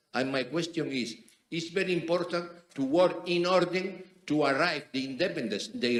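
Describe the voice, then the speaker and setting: A man with a fairly high voice uses lively intonation while keeping a moderate pace. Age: 60s. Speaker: judge. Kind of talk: audience question at conference. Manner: halting.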